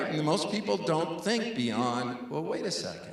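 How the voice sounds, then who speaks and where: A man with an American accent at a moderate pace, very wide pitch swings, audible room echo and noticeable background noise. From New York City (Brooklyn). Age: 60s. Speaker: conservation scientist. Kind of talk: public lecture Q&A.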